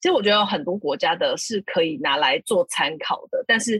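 A fairly quick pace in a Taiwanese accent. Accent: Taiwanese Mandarin. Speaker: podcast co-host. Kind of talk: casual interview chat.

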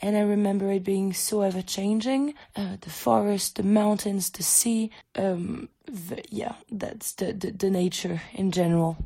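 A woman with a French accent, medium pitch, moderate pace and fairly even intonation. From France. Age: 20s. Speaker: exchange student. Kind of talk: recorded voice message.

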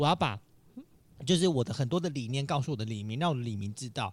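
A man talks at a very fast pace. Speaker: candidate for neighborhood chief. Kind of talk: casual interview chat.

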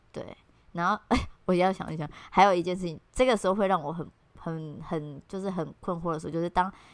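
A woman with a Taiwanese accent talks at a fairly quick pace with a fairly low pitch and fairly even intonation, in a very clean recording with a silent background. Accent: Taiwanese Mandarin. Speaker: podcast co-host. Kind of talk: casual chat.

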